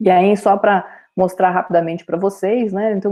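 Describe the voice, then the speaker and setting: A woman's normal speaking voice at a medium pitch, moderate in pace, with fairly even intonation. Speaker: university lecturer. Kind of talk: online lecture.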